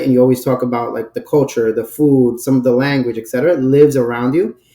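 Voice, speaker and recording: A man speaks very fast with a New York accent at a medium pitch. His tone is dark and mellow, and his intonation stays fairly even. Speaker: brand director. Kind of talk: podcast interview.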